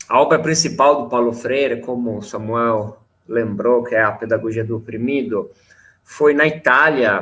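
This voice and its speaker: The voice has a bright, sharp tone and an Italian accent. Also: man. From Italy, near Milan. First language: Italian (speaking Portuguese). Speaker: teacher. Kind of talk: panel discussion.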